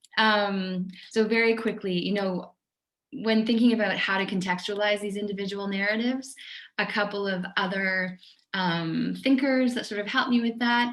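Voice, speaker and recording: The intonation stays fairly even. Audible room echo can be heard. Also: woman, medium pitch for a woman, moderate pace. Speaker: oral historian and author. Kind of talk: guest lecture. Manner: many filler ums.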